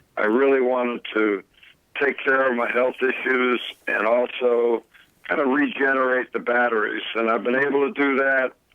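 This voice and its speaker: A man with an American accent speaks in an unremarkable speaking voice, medium in pitch, at a moderate pace, with very even loudness and fairly even intonation. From Connecticut. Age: 60s. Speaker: retired college basketball coach. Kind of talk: interview.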